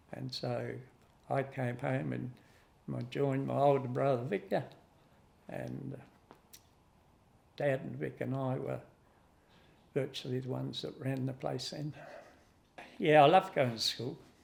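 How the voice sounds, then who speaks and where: Over big swings in loudness, a man with an Australian accent speaks at a fairly slow pace. He leaves long, frequent pauses. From South Australia, Adelaide Hills. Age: 80s+. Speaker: fruit grower. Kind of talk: interview reminiscence. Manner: halting.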